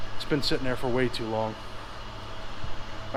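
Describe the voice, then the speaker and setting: A man's voice with very wide pitch swings against noticeable background noise. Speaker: vlogger doing car and tow truck work. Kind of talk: casual vlog talk to camera.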